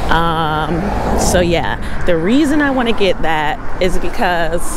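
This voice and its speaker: Speech at a very slow pace comes through dry, with no echo, over noticeable background noise. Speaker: e-bike vlogger. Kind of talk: casual vlog chat. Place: bicycle. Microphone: phone near.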